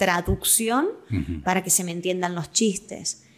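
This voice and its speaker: In a Rioplatense accent, a woman speaks with fairly even intonation. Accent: Argentine Rioplatense Spanish. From Argentina, Quilmes. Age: 20s. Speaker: actress, voice-over artist and comedian. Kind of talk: casual interview chat.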